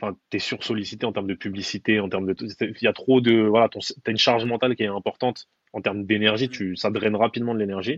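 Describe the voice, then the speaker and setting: Very fast and in monotone, flat intonation, a man speaks at a fairly low pitch, the sound dry and close with no echo. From Paris, Belleville (19th arrondissement). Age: 30s. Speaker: personal branding consultant. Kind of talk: casual interview.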